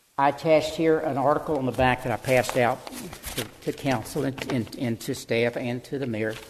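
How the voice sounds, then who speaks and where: Over noticeable background noise, a man talks at a fairly quick pace in a medium pitch with fairly even intonation. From Texas, Houston area. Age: 80s+. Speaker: local developer speaking at public comment. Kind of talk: public comment at a town hall meeting. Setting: city council town hall meeting. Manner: halting, repeats words.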